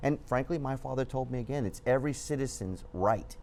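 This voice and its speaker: A man speaks with a Southern California accent. His pace is fairly quick. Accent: Southern California American English. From Whittier, Southern California (Cuban family). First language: Spanish. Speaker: journalist, news website founder. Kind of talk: TV interview.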